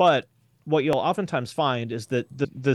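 A man with a normal speaking voice talks at a moderate pace and medium pitch, with lively intonation. The sound is dry and close, with no echo. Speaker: YouTube creator and music commentator. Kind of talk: casual interview chat. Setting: video call. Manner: self-deprecating, humorous.

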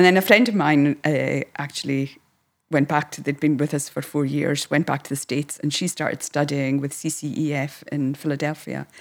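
In a Hebridean accent, a woman speaks at a moderate pace with a very deep, low pitch and fairly even intonation. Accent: Hebridean Scottish. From Scotland, Isle of Lewis. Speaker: counsellor. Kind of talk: interview.

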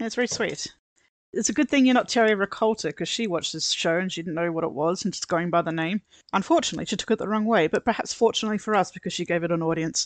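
A woman with an Australian accent speaks at a very fast pace in a medium pitch, her intonation lively and the sound dry and close with no echo. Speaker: podcast guest co-host. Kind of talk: casual chat; reading aloud.

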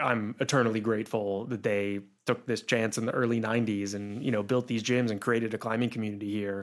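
Moving at a fairly quick pace, a man with an American accent speaks in a fairly low, monotone, flat voice. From Pittsburgh, western Pennsylvania. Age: 30s. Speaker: climbing gym business owner. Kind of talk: interview conversation. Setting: studio.

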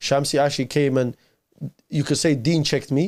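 Fairly even intonation marks this fairly quick-paced speech with a London accent. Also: man. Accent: London multicultural English. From London, arrived from Iraq aged nine. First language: Arabic. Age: 30s. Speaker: youth preacher. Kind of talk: casual interview chat.

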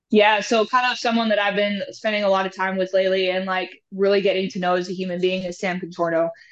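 Over a quiet background, a woman talks at a very fast pace with hardly any pauses and fairly even intonation. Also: medium pitch for a woman. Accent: American. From Houston, Texas, after early childhood in rural Alberta, Canada. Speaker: strength and conditioning coach. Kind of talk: interview conversation.

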